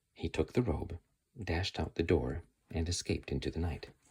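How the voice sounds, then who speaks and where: This man's voice is very deep and low, somewhat breathy, and moves at a moderate pace. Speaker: ASMR creator. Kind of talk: whispered ASMR book reading. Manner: whispered, soft, calm.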